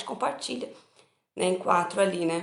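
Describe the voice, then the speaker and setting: With audible room echo, a woman talks at medium pitch with vocal fry. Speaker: spiritist study group leader. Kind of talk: online study talk.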